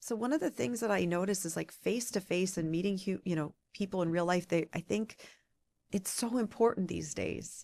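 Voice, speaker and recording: A woman's fairly low voice with a Midwestern accent, in a very clean recording with a silent background. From US Midwest, Michigan (Ann Arbor). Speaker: political radio reporter. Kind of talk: podcast interview. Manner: animated.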